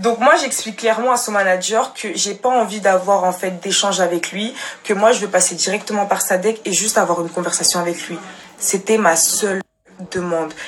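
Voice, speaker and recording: A woman speaks at a moderate pace with a medium pitch, an animated tone and ordinary pitch variation over light background noise. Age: young. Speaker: social media storyteller. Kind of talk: personal testimony to followers. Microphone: phone near.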